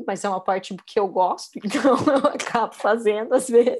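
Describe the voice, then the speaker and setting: In a very clean recording with a silent background, a woman with an unremarkable speaking voice and a fairly high pitch speaks at a moderate pace with ordinary pitch variation. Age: 30s. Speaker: meditation teacher. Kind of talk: casual chat.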